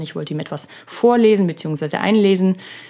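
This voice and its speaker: In a very clean recording with a silent background, a woman uses a normal speaking voice at medium pitch, with ordinary pitch variation and a fairly slow pace. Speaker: podcast host. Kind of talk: solo podcast monologue. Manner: casual, with many filler sounds; laughs while speaking.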